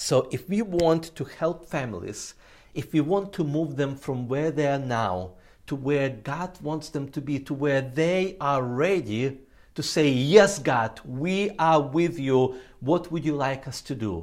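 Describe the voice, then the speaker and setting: On a very clean recording with a silent background, a man with a non-native accent speaks fairly slowly in a fairly high voice with lively intonation. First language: not English. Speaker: ministry trainer. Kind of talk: training presentation. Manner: frequent filler uh.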